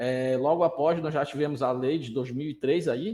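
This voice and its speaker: A man's fairly high voice, fairly slow, with ordinary pitch variation. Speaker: lecturer on pension law. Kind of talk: online lecture. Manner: halting, many repetitions and fillers.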